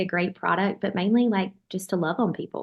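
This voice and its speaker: A woman with a Southern US accent, medium pitch, ordinary pitch variation and a moderate pace. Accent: Southern US (Georgia). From US South, Georgia. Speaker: bakery owner. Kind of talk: interview conversation. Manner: casual, many fillers.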